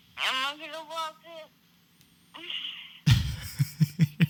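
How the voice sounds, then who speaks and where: A squeaky, high-pitched, put-on character voice. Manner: sleepy.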